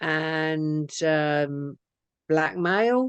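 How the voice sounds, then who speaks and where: With an English accent, this woman has a fairly low pitch, heard in a dry, close sound with no echo against a quiet background. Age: 50s. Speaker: abuse survivor. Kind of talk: testimony interview answer.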